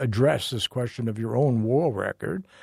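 Somewhat breathy with a dark, mellow tone, a man speaks at a moderate pace in a dry, close sound with no echo, on a very clean recording with a silent background. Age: 80s+. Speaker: journalist and podcast host. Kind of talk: interview conversation. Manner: halting, with repetitions.

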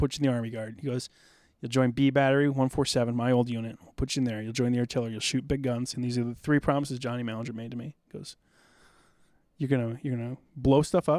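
On a very clean recording with a silent background, a man speaks at a very fast pace with medium pitch, monotone, flat intonation and big swings in loudness. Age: 40s. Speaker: war veteran. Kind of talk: casual chat.

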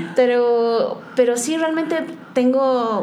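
A woman talks with ordinary pitch variation amid noticeable background noise and audible room echo. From Oaxaca, Mexico. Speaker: photographer. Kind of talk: interview.

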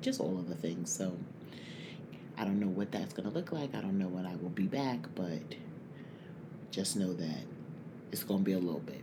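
The room gives off an audible echo. A man is talking, neither fast nor slow. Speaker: podcast host. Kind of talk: casual monologue. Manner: speaking low.

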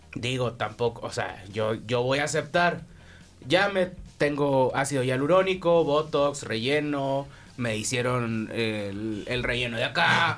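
A man with a Mexican accent speaks at a very slow pace, his medium pitch showing ordinary variation. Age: 30s. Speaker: podcast co-host. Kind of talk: casual chat.

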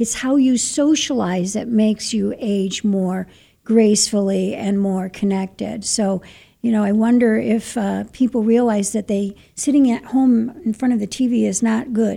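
Her somewhat breathy voice has a dark, mellow tone and a fairly high pitch, and this woman keeps a moderate pace and fairly even intonation on a very clean recording with a silent background. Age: 60s. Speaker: radio host. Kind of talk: radio interview. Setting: studio.

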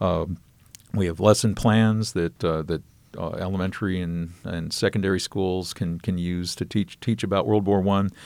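With an American accent, a man speaks at a moderate pace in a very deep, low pitch and a fairly even intonation. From US Midwest, Northeast Indiana. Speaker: state heritage outreach director. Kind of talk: interview. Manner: halting, many fillers.

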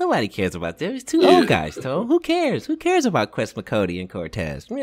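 A put-on character voice at a very fast pace. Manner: annoyed, dismissive.

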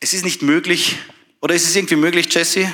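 With an animated tone and a high pitch, a man speaks with ordinary pitch variation. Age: 30s. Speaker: doctor and church speaker. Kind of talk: sermon.

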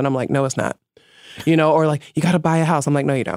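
A woman speaks with an American accent in a very deep, low pitch and fairly even intonation. The sound is dry and close with no echo, on a very clean recording with a silent background. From New York City (Bronx). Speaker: feminist writer and activist. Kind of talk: interview.

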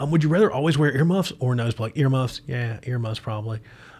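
A man at a medium pitch, somewhat breathy, talking very fast with ordinary pitch variation. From Appalachian Virginia, US. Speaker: podcast host. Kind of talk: casual chat. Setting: studio. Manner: casual, profane, rambling.

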